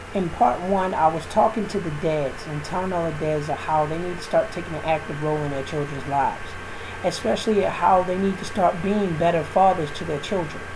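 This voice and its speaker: A man speaks at a fairly quick pace in a fairly high pitch, his pitch varying in an ordinary way over noticeable background noise. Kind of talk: spoken word monologue to camera. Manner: casual, preachy.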